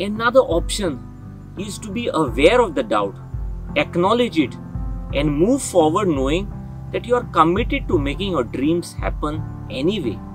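Clear music plays behind a man speaking at a moderate pace with long, frequent pauses. The sound is dry, with no echo. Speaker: motivational host. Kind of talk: motivational talk. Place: open country.

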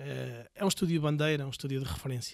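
Against a quiet background, a man with an unremarkable speaking voice talks at a fairly high pitch with fairly even intonation. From Portugal, Viseu; Portugal. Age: 40s. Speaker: entrepreneur, tattoo business owner; podcast guest. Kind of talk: casual interview. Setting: in person, Viseu. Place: studio. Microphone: studio mic.

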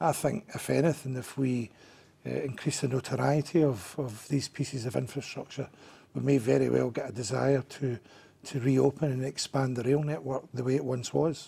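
A man speaks at a moderate pace with ordinary pitch variation. His voice is somewhat breathy. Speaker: council guest. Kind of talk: interview answer. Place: studio. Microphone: lapel.

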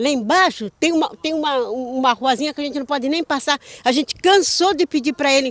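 Speaking very fast in a high voice, a woman shows ordinary pitch variation over a dry sound with no echo. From Rio de Janeiro, Brazil. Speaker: local resident. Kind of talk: complaint interview. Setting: outdoors. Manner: indignant. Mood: indignant, frustrated complaint. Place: street. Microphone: handheld.

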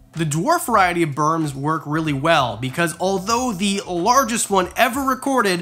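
Moving at a moderate pace, a man talks in a bright, sharp tone with very wide pitch swings. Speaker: reptile keeper youtuber. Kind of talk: casual vlog chat. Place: home room.

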